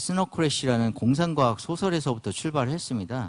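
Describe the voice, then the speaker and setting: In a quiet background, a man speaks. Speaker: company CEO giving conference talk. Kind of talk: conference lecture. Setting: conference stage with audience. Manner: hesitant, many fillers.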